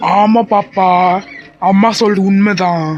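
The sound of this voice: A man puts on a cartoonish character voice, pitched high for a man. His intonation stays fairly even.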